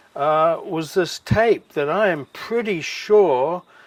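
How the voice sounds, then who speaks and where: A man with a New Zealand accent speaks at a fairly high pitch for a man, with ordinary pitch variation. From New Zealand, Wellington. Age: 60s. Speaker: former ski club bar manager. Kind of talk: interview.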